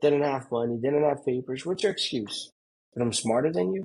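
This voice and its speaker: A man speaks with a Brazilian Portuguese accent and a somewhat breathy quality. His pitch swings very widely. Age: 30s. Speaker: pool construction business owner. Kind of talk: casual interview chat. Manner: animated.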